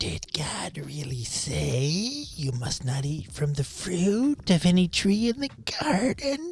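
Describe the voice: This put-on character voice moves at a fairly slow pace with a middle pitch.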